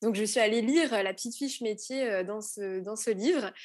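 This woman's voice sits fairly high, with ordinary pitch variation. She talks at a moderate pace against a quiet background. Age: 20s. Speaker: anthropologist. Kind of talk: interview, explanatory.

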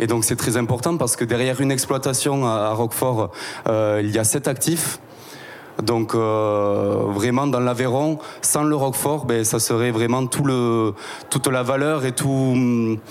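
With noticeable background noise, a man speaks at a fairly slow pace in a medium pitch, his loudness very even and his intonation fairly even. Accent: southwestern French. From southwestern France, Tarn. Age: 20s. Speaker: cooperative sales and promotion staff. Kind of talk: interview.

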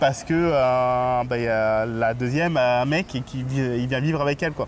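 A plain, everyday voice moves at a fairly slow pace with fairly even intonation. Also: man. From Paris. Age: 30s. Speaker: podcast host. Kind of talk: casual chat. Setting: outdoors.

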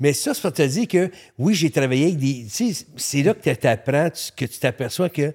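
A Montreal accent with lively intonation at a moderate pace, dry and close with no echo, in a very clean recording over a silent background. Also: man, fairly high pitch for a man. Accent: Montreal Quebec French. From Quebec, Montreal. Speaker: photographer. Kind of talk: casual chat. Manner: halting.

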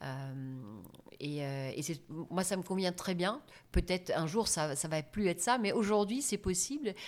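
A woman with a German accent speaks at a fairly slow pace with lively intonation, on a very clean recording with a silent background. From Germany. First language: German (speaking French). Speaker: business trainer and coach. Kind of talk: interview.

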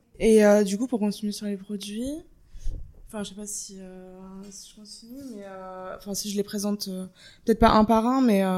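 Long, frequent pauses break up a woman's moderate pace, her medium-pitched delivery monotone and flat. Her loudness swings widely on a very clean recording with a silent background. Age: 20s. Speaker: marketing student and work-study employee. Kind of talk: casual interview. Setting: in person at company office. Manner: casual, hesitant.

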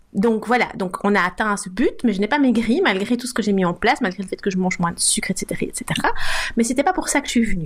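Over noticeable background noise, a woman speaks at a fairly quick pace with a fairly high pitch and ordinary pitch variation. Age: 50s. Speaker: food blogger. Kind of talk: casual interview.

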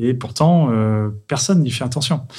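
A man in an ordinary speaking voice talks at a fairly quick pace with ordinary pitch variation. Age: 40s. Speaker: tech entrepreneur. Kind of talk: testimony.

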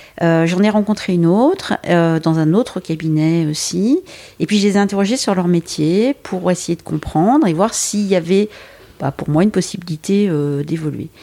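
A woman with a fairly low-pitched, dark, mellow voice speaks at a moderate pace with ordinary pitch variation and very even loudness. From Brittany, France. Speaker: headhunter. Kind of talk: interview. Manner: hesitant, many fillers.

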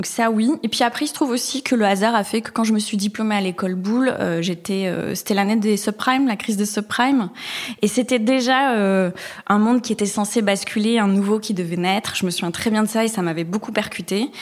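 A woman speaks with a plain, everyday voice and ordinary pitch variation. Her pitch sits fairly high. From Basque Country, France. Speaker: designer. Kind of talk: interview.

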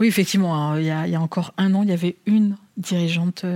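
A dark, mellow tone at a fairly quick pace with fairly even intonation. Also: woman, dry, close sound with no echo. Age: 50s. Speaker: bank chief executive. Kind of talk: interview.

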